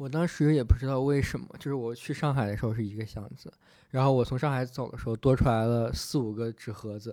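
A man with a dark, mellow tone talks at a fairly quick pace with ordinary pitch variation, on a very clean recording with a silent background. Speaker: international student in New York. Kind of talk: casual chat.

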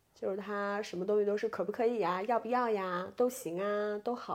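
Speaking with fairly even intonation, a woman has a medium pitch and a dark, mellow tone. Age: 20s. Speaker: podcast co-host. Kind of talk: casual chat. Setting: lying in bed.

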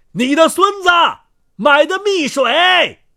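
A man does a put-on character voice at an extremely high pitch, bright and sharp in tone, with lively intonation and a slow pace, in a very clean recording with a silent background.

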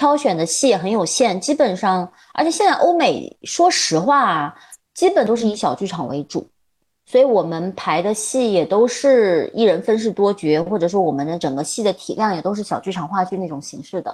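Her voice is medium-pitched, with very wide pitch swings. The woman talks at a moderate pace against a quiet background. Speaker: theatre director and drama teacher. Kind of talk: interview. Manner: halting.

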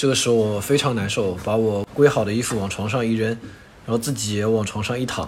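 Audible room echo surrounds a man speaking at medium pitch. His pace is fairly quick. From China, Wuxi (Jiangsu). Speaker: overseas student. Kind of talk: casual chat.

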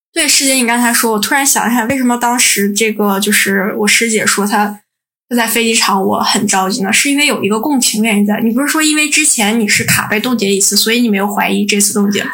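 A woman with a fairly high pitch and a bright, sharp tone talks at a very fast pace with ordinary pitch variation. Her loudness stays very even, and the room echo is audible. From Northeast China. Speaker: podcast co-host, PhD student. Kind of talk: casual chat.

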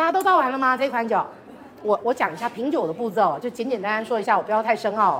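At a very fast pace, a woman speaks with a fairly high pitch and lively intonation over noticeable background noise. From Taiwan. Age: 40s. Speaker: wine brand marketing director. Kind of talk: wine tasting presentation. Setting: live event with audience.

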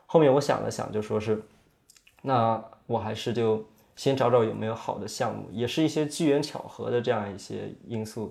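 Medium in pitch, a man talks at a moderate pace with ordinary pitch variation. He has an ordinary speaking voice. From Yunnan, China. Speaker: young film director and tea seller. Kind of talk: casual interview conversation.

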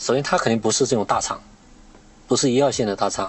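Using a normal speaking voice, a man talks at a medium pitch with lively intonation. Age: 30s. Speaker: podcast host and internet industry worker. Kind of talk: casual chat.

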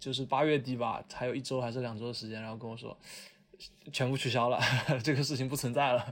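A man with a plain, everyday voice, medium pitch, fairly even intonation and a fairly quick pace. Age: 20s. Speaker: podcast host. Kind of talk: casual chat.

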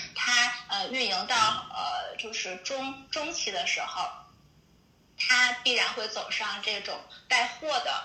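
There is noticeable background noise and audible room echo behind a woman's voice. She speaks at a high pitch with lively intonation. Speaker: listener caller, amateur podcaster. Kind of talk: casual chat.

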